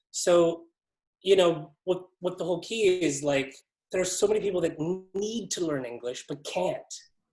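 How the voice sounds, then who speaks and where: A man's voice sits high in pitch, with ordinary pitch variation. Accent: American. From Ontario, Canada. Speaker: ESL business founder. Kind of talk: casual interview. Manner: rambling, filler-heavy.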